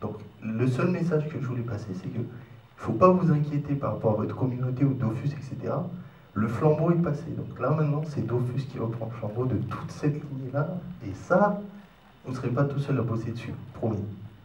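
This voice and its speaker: With long, frequent pauses, a man at a medium pitch talks with ordinary pitch variation, amid audible room echo and noticeable background noise. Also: moderate pace. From Madagascar. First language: not French (speaking French). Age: 40s. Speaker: audience member. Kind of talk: audience comment. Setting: cinema with audience.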